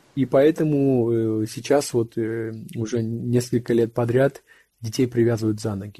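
A man speaks at medium pitch with a dark, mellow tone and fairly even intonation against a quiet background. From Russia. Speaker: photographer. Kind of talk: interview. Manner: halting.

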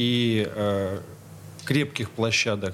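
This man's voice sits at a medium pitch with fairly even intonation. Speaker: stage director and acting teacher. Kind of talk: radio interview. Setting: studio. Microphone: too far from the mic at first.

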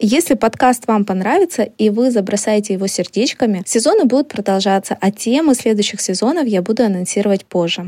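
Speaking at a fairly quick pace, a woman with a plain, everyday voice and a fairly high pitch uses ordinary pitch variation in a dry, close sound with no echo. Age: 30s. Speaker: marketing podcast host. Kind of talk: educational podcast lesson.

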